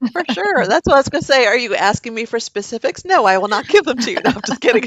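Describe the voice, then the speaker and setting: A woman's fairly high voice carries lively intonation. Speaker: life coach. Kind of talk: casual chat. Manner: calm.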